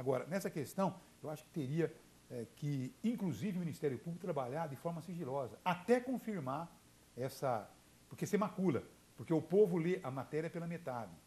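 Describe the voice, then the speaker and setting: At a fairly quick pace, a man with a fairly high pitch and a dark, mellow tone speaks with lively intonation. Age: 60s. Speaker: journalist and radio broadcaster. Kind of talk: TV interview. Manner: halting, many fillers and repetitions.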